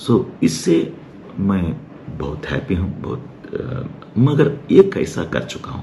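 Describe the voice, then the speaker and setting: Amid noticeable background noise and audible room echo, a man with a fairly low pitch swings very widely in pitch and leaves long, frequent pauses. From Hyderabad, India. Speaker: doctor. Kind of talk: casual talk to camera. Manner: halting, many fillers.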